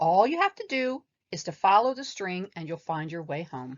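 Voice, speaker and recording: In a put-on character voice, a female-sounding speaker talks at a moderate pace with a medium pitch. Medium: read story. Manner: confident, brisk.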